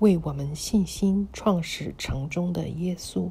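A woman speaks very slowly in a very deep, low pitch, her tone dark and mellow. Her voice is somewhat breathy, with ordinary pitch variation. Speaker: audio Bible reader. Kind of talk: scripture reading.

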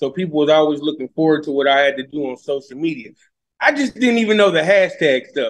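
An animated man with an American accent, fairly high-pitched, lively in intonation and very fast, against a quiet background. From Indianapolis, Indiana, US Midwest; Indiana. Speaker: social media influencer and comedian; social media influencer, comedian. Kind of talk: interview. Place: garage. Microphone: video call.

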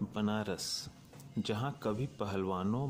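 Pitch varies in an ordinary way here. It is an ordinary speaking voice. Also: man. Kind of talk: documentary narration.

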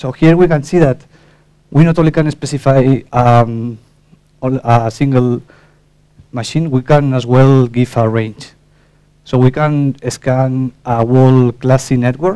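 Speaking at a fairly slow pace with fairly even intonation, a man leaves long, frequent pauses. The background is quiet. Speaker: conference presenter. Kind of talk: technical talk. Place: hall.

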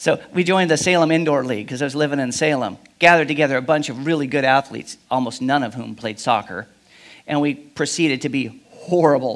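A man talks very fast, his pitch varying in an ordinary way, with a quiet background behind him. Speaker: pastor. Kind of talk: sermon. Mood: humorous personal anecdote. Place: church. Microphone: headset.

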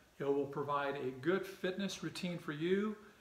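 With ordinary pitch variation, a man talks at a moderate speed while audible room echo hangs around his words. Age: 60s. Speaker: fitness video host. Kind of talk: casual talk to camera. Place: home room. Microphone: camera far.

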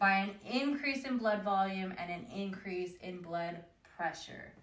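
A woman talks at a very slow pace. Room echo is audible. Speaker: teacher. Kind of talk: lecture. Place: home room. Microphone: camera far.

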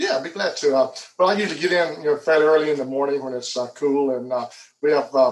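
With an Alabama accent, a man talks at a very fast pace in a fairly high pitch. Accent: southern US (Alabama). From Alabama, Headland. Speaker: airport manager. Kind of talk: interview. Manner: hesitant, many fillers. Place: home room. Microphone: video call.

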